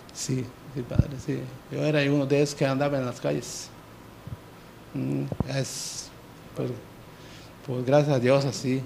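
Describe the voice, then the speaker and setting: With noticeable background noise behind him, a man speaks in a monotone, flat intonation at a fairly slow pace, with long, frequent pauses. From Yucatán Peninsula, Mexico, Maya village. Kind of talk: testimony. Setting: TV studio. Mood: earnest personal confession. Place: studio. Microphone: handheld.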